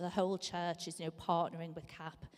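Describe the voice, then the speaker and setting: This is a woman speaking. She has a strong Scouse accent. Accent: Scouse, strong and lasting. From Liverpool, England. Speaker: charity leader giving a church talk. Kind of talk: sermon-style talk. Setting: church service. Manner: frequent fillers (um).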